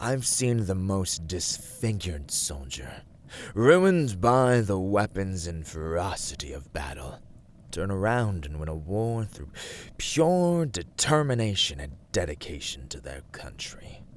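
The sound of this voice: Putting on a character voice, a man speaks slowly at a low pitch with big pitch swings.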